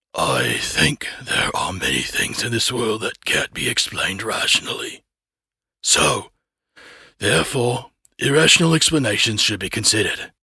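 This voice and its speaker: A man puts on a raspy character voice, fairly high in pitch. He keeps a calm tone at a moderate pace. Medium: read story. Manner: calm, measured.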